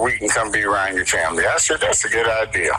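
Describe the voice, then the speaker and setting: Music plays in the background as a man talks. He has an American accent and a fairly quick pace. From Cleveland, Ohio (East Side), US Midwest. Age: 60s. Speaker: graphic artist. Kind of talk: radio interview. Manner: halting, many restarts.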